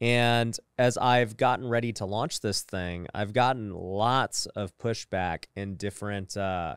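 A fairly low-pitched male voice at a fairly slow pace, with ordinary pitch variation, a dry sound free of echo, and a quiet background. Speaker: podcast host. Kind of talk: podcast monologue. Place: studio. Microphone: studio mic.

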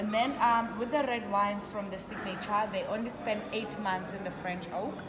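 There is noticeable noise in the background. Over it, a woman speaks at a moderate pace. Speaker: wine tasting host. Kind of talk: guided tasting explanation. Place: bar. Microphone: phone near.

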